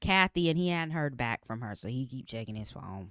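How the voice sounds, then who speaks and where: A woman is heard on a very clean recording with a silent background. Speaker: podcast co-host. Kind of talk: TV recap chat. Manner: fast; casual, conversational.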